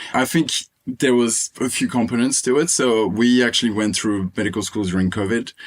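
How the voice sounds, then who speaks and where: A man's medium-pitched voice at a fairly quick pace, with ordinary pitch variation and very even loudness. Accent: French. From Réunion Island. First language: French. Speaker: medical student. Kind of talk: interview.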